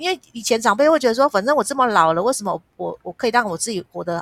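A woman's very fast, fairly high voice with lively intonation, vocal fry and a bright, sharp tone, in a dry, close sound with no echo. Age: 50s. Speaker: nonprofit foundation executive director. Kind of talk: interview.

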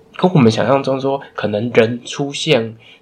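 A man talks at a fairly slow pace with fairly even intonation. Noticeable background noise sits behind him. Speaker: book podcast co-host. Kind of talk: casual book discussion.

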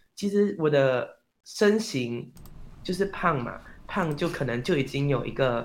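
A man's fairly high-pitched, lively voice at a very slow pace. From Malaysia. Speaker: performing arts student, actor. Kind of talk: interview.

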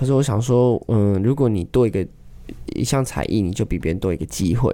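A man's very fast delivery at a medium pitch, dark and mellow in tone, with ordinary pitch variation. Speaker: street drummer. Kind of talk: casual interview.

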